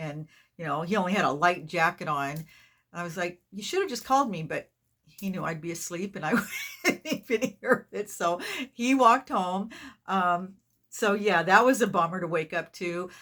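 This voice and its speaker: A woman speaks at a medium pitch and moderate pace, her tone bright and sharp with lively intonation. Her loudness swings widely on a very clean recording with a silent background. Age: 60s. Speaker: rideshare driver. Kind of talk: casual talk to camera.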